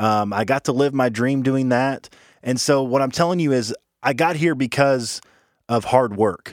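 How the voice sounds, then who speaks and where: A man with a normal speaking voice, medium pitch, ordinary pitch variation, very even loudness and a moderate pace, on a very clean recording with a silent background. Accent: American. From rural small town, US. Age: 20s. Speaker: podcast host. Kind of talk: casual chat.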